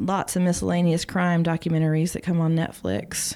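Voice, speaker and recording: With a Texan accent, a woman speaks at a moderate pace in a fairly low pitch and a dark, mellow tone, her intonation flat and monotone, on a very clean recording with a silent background. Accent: Texan Southern US. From East Texas. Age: 30s. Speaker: former barista and mother. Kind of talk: casual interview chat.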